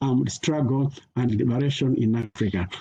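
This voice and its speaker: Somewhat breathy and dark, mellow in tone, the voice keeps a moderate pace with ordinary pitch variation. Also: man. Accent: Malawian. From Malawi. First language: Chichewa. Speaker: peace education scholar. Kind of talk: conference talk. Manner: halting, many fillers.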